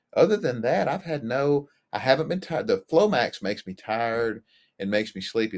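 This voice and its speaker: A man talks at a fairly quick pace with lively intonation, in a normal speaking voice. The sound is dry and close, with no echo. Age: 50s. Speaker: marriage and family therapist, cancer patient. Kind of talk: interview testimony.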